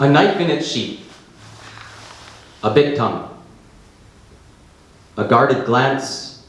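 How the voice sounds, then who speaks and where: Very slow speech with long, frequent pauses comes through over noticeable background noise. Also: man, fairly high pitch for a man, ordinary pitch variation. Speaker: poet. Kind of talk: live poetry reading.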